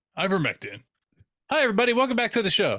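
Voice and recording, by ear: A man puts on a strained character voice at an extremely high pitch, rattling along at a very fast pace.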